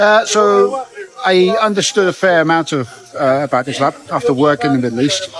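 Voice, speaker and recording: Music plays in the background as a man speaks. He moves at a fairly quick pace with lively intonation. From United Kingdom. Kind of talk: street interview. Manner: halting, hesitant.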